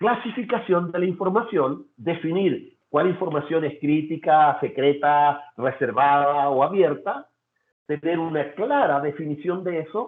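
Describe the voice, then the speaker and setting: A man with a fairly high pitch talks at a fairly slow pace, using ordinary pitch variation. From Chile. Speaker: data security consultant. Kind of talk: webinar presentation. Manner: halting, with fillers and repetitions.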